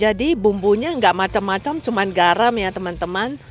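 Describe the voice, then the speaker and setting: Music plays in the background as a woman with a non-native accent speaks at a medium pitch with ordinary pitch variation. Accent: non-fluent Indonesian. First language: Mandarin or English (speaking Indonesian). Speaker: cooking vlogger. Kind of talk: cooking tutorial. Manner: halting, with fillers; casual, friendly.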